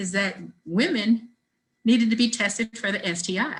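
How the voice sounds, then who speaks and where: Somewhat breathy female voice at a fairly slow pace, with ordinary pitch variation. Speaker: nonprofit deputy director. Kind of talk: webinar presentation. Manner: animated.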